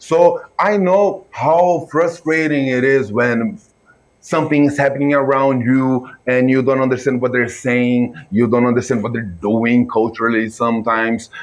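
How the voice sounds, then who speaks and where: The speaker has a Brazilian Portuguese accent and talks at a moderate pace with ordinary pitch variation. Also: man, medium pitch for a man. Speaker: filmmaker and reaction video creator. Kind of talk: reaction video commentary. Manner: casual, animated.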